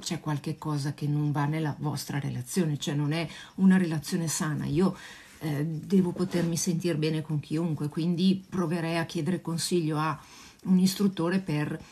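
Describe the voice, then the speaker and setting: Her very deep, low voice is somewhat breathy with a dark, mellow tone, fairly even intonation and a moderate pace. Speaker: dog trainer answering viewers. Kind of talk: casual live Q&A chat. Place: home room. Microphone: phone near.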